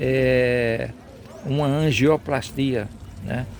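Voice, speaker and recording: A man talks at a medium pitch with ordinary pitch variation over noticeable background noise. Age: 70s. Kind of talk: devotional talk.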